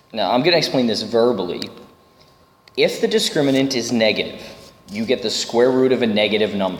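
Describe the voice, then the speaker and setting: A man with a medium-pitched voice talks at a fairly quick pace with ordinary pitch variation, while audible room echo and noticeable background noise come through. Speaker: math teacher. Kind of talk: lecture.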